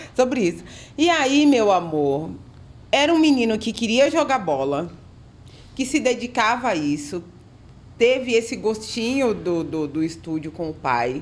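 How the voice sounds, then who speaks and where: A woman's fairly high, animated voice with very wide pitch swings, at a fairly slow pace with long, frequent pauses. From Brazilian countryside (interior). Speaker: podcast host. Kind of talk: casual interview chat.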